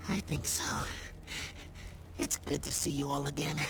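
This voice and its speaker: A cartoonish character voice, low-to-middle in pitch, at a moderate pace over loud background noise. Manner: formal, gentle.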